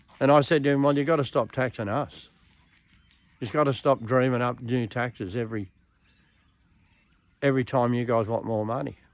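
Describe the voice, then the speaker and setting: Talking at a fairly quick pace yet with long, frequent pauses, a man with an Australian accent keeps a medium pitch and fairly even intonation. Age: 70s. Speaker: political commentator. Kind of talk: political monologue.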